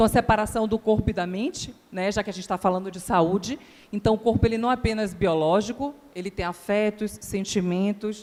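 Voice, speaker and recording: A woman speaks with a Bahian accent at medium pitch. Her pace is fairly quick and her pitch varies in an ordinary way. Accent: Bahian Brazilian Portuguese. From Bahia, Brazil. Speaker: psychologist, conference speaker. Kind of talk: conference talk. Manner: hesitant, many filler words.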